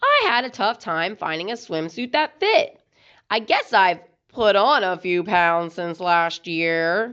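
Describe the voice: A woman's put-on character voice, fairly low in pitch, with a fairly bright, clear, smooth tone, big pitch swings and a slow pace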